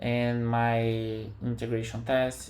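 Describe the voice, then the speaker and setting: Audible room echo is present in the recording. The man talks at a very slow pace. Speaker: software developer. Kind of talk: tutorial. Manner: halting.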